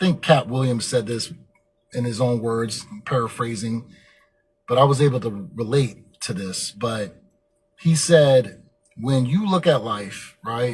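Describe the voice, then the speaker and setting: Speaking at a fairly slow pace with long, frequent pauses, a man with a medium pitch sounds somewhat breathy and uses ordinary pitch variation. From Germany. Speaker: motivational podcast host. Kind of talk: motivational monologue. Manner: filler-heavy, occasionally tongue-tied.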